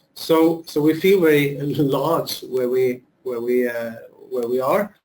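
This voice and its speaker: Here a man talks with a Norwegian accent at a fairly slow pace. His voice sits fairly high, with ordinary pitch variation. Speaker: education administrator. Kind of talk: webinar presentation. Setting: video call. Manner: halting.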